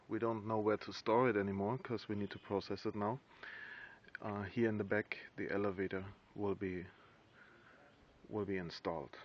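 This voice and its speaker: With a fairly low pitch and fairly even intonation, a man speaks at a moderate pace. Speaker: gold mine operator. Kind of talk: walking site tour narration. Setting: outdoors at a mine plant. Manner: halting, with hesitations.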